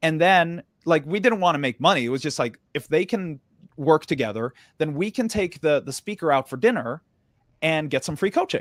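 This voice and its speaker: An unremarkable speaking voice with an American accent carries lively intonation at a moderate pace, on a very clean recording with a silent background and a dry, close sound with no echo. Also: man, fairly high pitch for a man. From Sweden. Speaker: entrepreneur. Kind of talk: interview storytelling.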